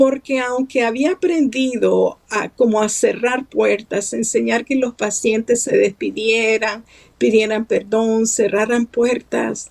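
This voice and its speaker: A woman talks at a fairly high pitch. Her pace is very slow. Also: ordinary pitch variation. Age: 70s. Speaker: writer and psychologist. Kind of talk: interview.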